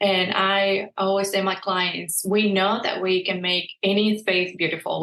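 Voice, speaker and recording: At a fairly slow pace, a woman speaks with a Mexican accent. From southern Mexico, Veracruz. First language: Spanish. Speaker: interior designer. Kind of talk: interview.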